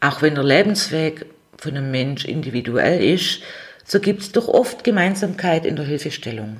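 Speaking at a moderate pace with a Swabian accent, a woman uses a very deep, low pitch with very wide pitch swings and big swings in loudness. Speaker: psychotherapy practitioner and podcast host. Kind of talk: solo podcast monologue.

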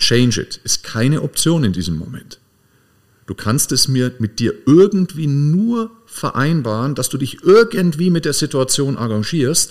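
A man's fairly high voice with very wide pitch swings at a fairly slow pace. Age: 40s. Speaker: podcast host, coach. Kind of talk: casual chat.

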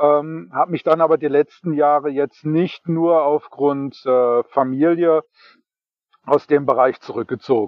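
This is a normal speaking voice. It moves at a fairly slow pace with fairly even intonation. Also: man, fairly high pitch for a man. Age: 40s. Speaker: podcast guest, radio show co-host. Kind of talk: casual chat. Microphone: choppy internet connection.

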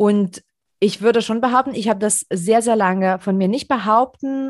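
Against a quiet background, a woman uses a plain, everyday voice at medium pitch and moderate pace, her pitch varying in an ordinary way. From Europe. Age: 30s. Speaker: podcast host. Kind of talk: casual chat.

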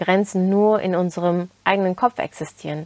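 Speaking at a very slow pace with a Turkish accent, a woman keeps a fairly even intonation in a dry, close sound with no echo. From Turkey, then Germany from age 11. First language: Turkish (speaking German). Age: 20s. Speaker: self-development podcaster. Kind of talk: motivational monologue.

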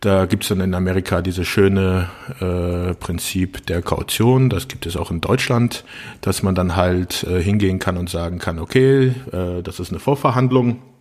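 Very deep, low male voice, moderately paced, pitch varying in an ordinary way. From Rhineland-Palatinate, Germany. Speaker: podcast co-host. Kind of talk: casual chat. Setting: remote call.

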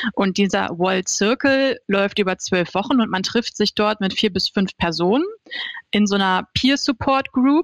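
A woman with a plain, everyday voice speaks at a medium pitch and moderate pace, with ordinary pitch variation. The sound is dry and close, with no echo. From Hannover, northern Germany. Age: 30s. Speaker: social media manager. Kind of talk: interview.

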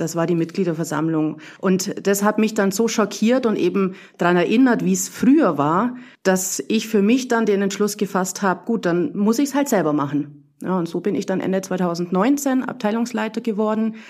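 A woman with an unremarkable speaking voice and a medium pitch talks at a moderate pace with lively intonation. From Bavarian Swabia, Burgau. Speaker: tennis club volunteer leader. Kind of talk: casual interview.

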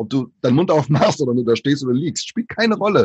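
A man's voice with vocal fry and very wide pitch swings, in a dry, close sound with no echo. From Brazil, moved to Germany at five. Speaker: author and diversity speaker. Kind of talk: casual interview.

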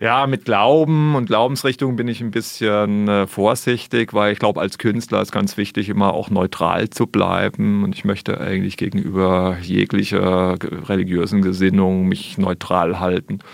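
Having a plain, everyday voice, a man speaks at a fairly low pitch and moderate pace with ordinary pitch variation and hardly any pauses. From Germany, Sinsheim (Baden-Württemberg). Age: 40s. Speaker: wildlife artist and filmmaker. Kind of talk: radio interview.

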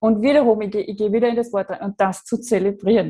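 With an Austrian accent, a woman speaks at a medium pitch in a dark, mellow tone with fairly even intonation, on a very clean recording with a silent background. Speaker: online branding coach. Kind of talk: casual chat. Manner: careful standard German.

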